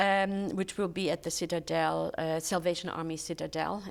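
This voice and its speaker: A woman speaks in a German accent with a fairly low pitch and flat, monotone intonation. Her pace is moderate, and the recording is very clean with a silent background. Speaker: charity volunteer, retired teacher. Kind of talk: interview.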